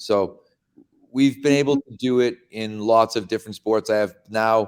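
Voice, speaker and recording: A man with an American accent and a plain, everyday voice, medium in pitch, fairly even in intonation, at a moderate pace, with a dry, close sound and no echo. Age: 60s. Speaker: strength and conditioning coach. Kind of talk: podcast interview.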